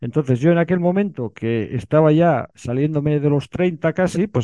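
A man with a fairly high pitch and ordinary pitch variation talks at a moderate pace in a dry, close sound with no echo. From Bilbao, Basque Country, Spain. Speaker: writer and filmmaker. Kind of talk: interview. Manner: halting, many repetitions.

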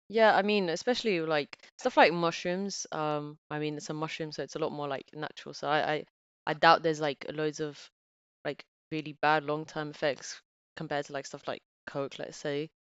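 A woman's very deep, low voice with ordinary pitch variation. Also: moderate pace. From Bulgaria, raised partly in England. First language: Bulgarian. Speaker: office worker with physics background, podcast guest. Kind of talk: casual chat.

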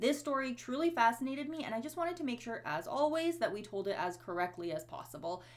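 A woman's high voice at a very fast pace, with very wide pitch swings and hardly any pauses. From born in former Yugoslavia region. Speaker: true crime podcast co-host. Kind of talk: casual chat.

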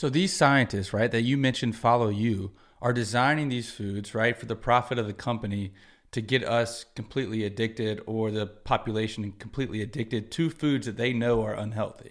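Fairly quick, medium-pitched male speech, an ordinary speaking voice with ordinary pitch variation, in a very clean recording with a silent background. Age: 30s. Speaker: podcast host. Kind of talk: interview. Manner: casual.

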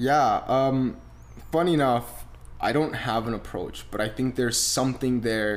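Fairly slow and fairly even in intonation, a man talks. His pitch sits in the medium range. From Romania, small town; moved to Canada. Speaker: media entrepreneur. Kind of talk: casual interview chat. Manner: hesitant, many fillers.

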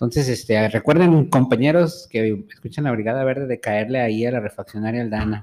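A man speaks fairly quickly with hardly any pauses, using an unremarkable speaking voice. His pitch is medium with ordinary pitch variation. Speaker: podcast co-host. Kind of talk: casual chat. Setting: studio.

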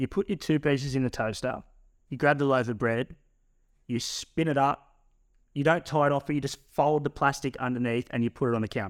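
A man speaks at a fairly quick pace with a fairly high pitch, his voice dry and close with no echo on a very clean recording against a silent background. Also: ordinary pitch variation. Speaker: podcast co-host. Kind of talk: casual chat. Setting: studio.

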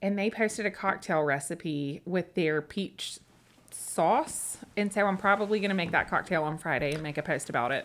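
With a Tennessee accent, a woman speaks at a fairly low pitch and a moderate pace. Her pitch variation is ordinary. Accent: Southern US (Tennessee). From West Tennessee, US South (Humboldt, Memphis). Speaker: small business owner, charcuterie shop founder. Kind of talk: casual interview chat.

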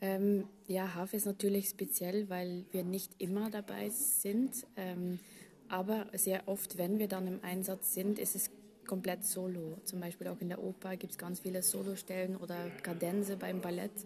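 A woman's somewhat breathy, dark, mellow voice at medium pitch, with monotone, flat intonation and a fairly slow pace. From Belgium. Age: 30s. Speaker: orchestral harpist. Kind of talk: interview. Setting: backstage after a concert. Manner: hesitant with frequent fillers.

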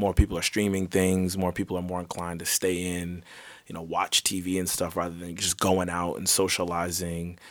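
In an American accent, the speaker goes at a fairly quick pace with monotone, flat intonation. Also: man, very deep, low pitch for a man. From US. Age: 20s. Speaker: podcast host. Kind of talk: casual chat.

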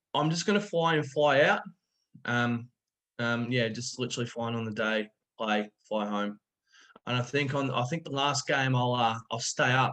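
Speaking with an Australian accent, a man of medium pitch goes at a moderate pace with ordinary pitch variation. He leaves long, frequent pauses. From far north Queensland, Australia. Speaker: cricketer. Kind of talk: casual chat.

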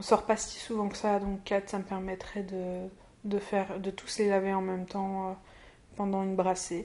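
Against a quiet background, a woman speaks at a fairly slow pace in a medium pitch, her tone dark and mellow and her intonation monotone and flat. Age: 20s. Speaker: podcaster keeping an audio diary. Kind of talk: personal audio diary. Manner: hesitant, many fillers.

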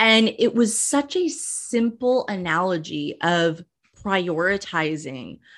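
Over a quiet background, a woman talks in a medium pitch with lively intonation. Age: 30s. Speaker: podcast host and writer. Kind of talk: interview conversation. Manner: animated.

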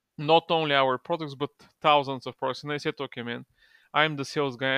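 A man's fairly high, flat monotone at a fairly quick pace, in a Bulgarian accent, dry and close with no echo over a quiet background. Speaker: e-commerce partnerships manager. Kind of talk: casual interview.

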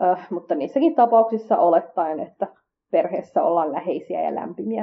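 Lively intonation runs through a normal speaking voice at a moderate pace. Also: woman. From Finland, Kurdish family. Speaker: podcast host. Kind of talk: scripted podcast monologue.

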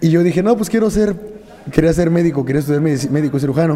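Over noticeable background noise and audible room echo, a man talks at a very fast pace with a fairly high pitch and ordinary pitch variation. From Mexico, Tula de Allende, Hidalgo. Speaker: mixed martial arts fighter and coach. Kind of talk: casual chat.

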